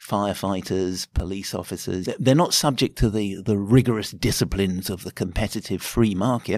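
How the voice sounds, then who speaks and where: A man speaks at a moderate pace with ordinary pitch variation, recorded very cleanly against a silent background with a dry, close sound and no echo. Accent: British. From Britain. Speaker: anthropology professor. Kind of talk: interview. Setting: conference. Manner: halting, repeats words.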